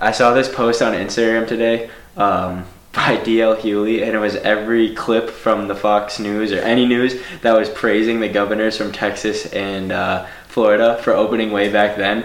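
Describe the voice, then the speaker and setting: Monotone, flat intonation from a man, with noticeable background noise. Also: medium pitch for a man, moderate pace. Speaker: podcast host. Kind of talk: casual interview chat.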